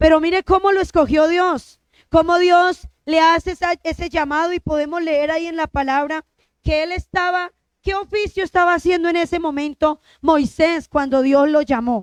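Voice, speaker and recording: In a dry, close sound with no echo, a woman with an extremely high pitch speaks at a moderate pace with fairly even intonation. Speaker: lay preacher. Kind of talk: sermon.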